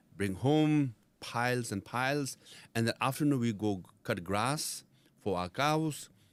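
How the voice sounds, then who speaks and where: Speech with a Nepali accent comes at a fairly slow pace with lively intonation. The recording is very clean, with a silent background. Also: man, medium pitch for a man. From India, Darjeeling (Tibetan refugee community). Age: 50s. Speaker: former Tibetan exile political leader. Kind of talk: interview. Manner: conversational, frequent fillers.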